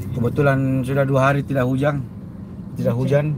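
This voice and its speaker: At a fairly quick pace, this man speaks in a fairly high pitch, with noticeable background noise and audible room echo. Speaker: live-streaming vlogger. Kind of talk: live stream chat while travelling. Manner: loud, shouty.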